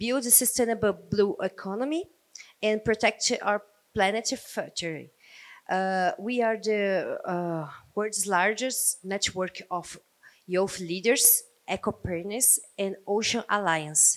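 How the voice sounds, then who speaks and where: A speaker with a Portuguese accent talks at a very slow pace, with ordinary pitch variation. The recording is very clean, with a silent background. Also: woman, medium pitch for a woman. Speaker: ocean nonprofit representative. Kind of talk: panel introduction. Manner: halting.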